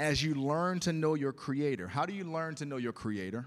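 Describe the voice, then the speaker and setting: Lively intonation at a moderate pace from an unremarkable speaking voice, on a very clean recording with a silent background. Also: man. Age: 40s. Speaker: pastor. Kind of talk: sermon. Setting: church.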